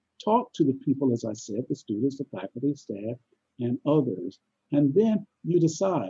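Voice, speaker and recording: A man speaks with a fairly high pitch, very wide pitch swings and a dark, mellow tone that is somewhat breathy. The sound is dry and close, with no echo. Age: 80s+. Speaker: university president. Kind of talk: interview. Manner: halting.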